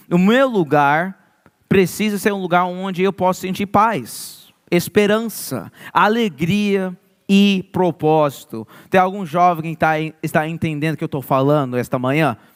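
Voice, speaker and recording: Music plays behind a man speaking with a São Paulo interior accent, his pitch high and its variation ordinary. He talks at a fairly slow pace, and the sound is dry and close with no echo. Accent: Portuguese sounds like interior of São Paulo. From Maryland, US (born New York). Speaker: youth pastor. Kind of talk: sermon.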